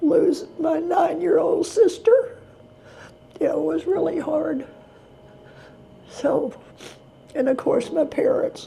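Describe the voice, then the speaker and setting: A woman's extremely high-pitched voice, very slow, with very wide pitch swings. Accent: Texan. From Texas. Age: 80s+. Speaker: retired special education teacher. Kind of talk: interview answer.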